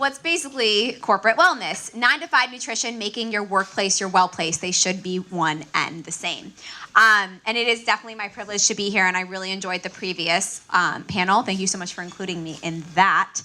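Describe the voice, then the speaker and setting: A woman with an American accent talks at a fairly quick pace, her pitch medium and her loudness swinging widely. Background noise is noticeable. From Miami, Florida. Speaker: registered dietitian. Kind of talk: conference talk.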